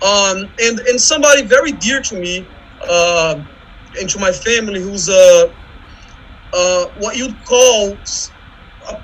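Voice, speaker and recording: A man with a Brazilian accent speaks at a fairly slow pace with ordinary pitch variation and a high pitch. Noticeable background noise is present. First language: Portuguese. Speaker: visual artist and academic. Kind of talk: panel discussion. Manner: halting.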